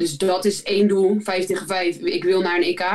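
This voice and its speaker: In a medium-pitched voice, a woman speaks at a moderate pace with monotone, flat intonation. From Netherlands, Rotterdam area (Zwijndrecht, Barendrecht). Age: 30s. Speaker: professional basketball player. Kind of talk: casual interview.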